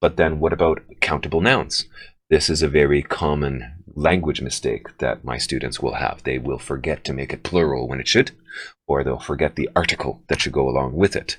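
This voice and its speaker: A man's very deep, low voice with vocal fry moves at a fairly quick pace with fairly even intonation. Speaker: English teacher running a test-prep workshop. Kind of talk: workshop presentation.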